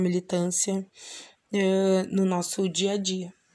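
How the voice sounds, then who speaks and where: A woman's medium-pitched voice has a dark, mellow tone and monotone, flat intonation. The recording is very clean with a silent background. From southern Brazil, Bagé (Rio Grande do Sul). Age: 30s. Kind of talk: personal testimony. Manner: halting, many fillers.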